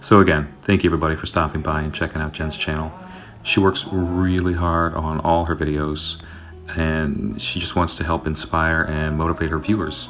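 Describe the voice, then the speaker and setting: A man speaks in a very deep, low voice with music playing in the background. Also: fairly even intonation, moderate pace. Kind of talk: relaxed voiceover narration of a cleaning video.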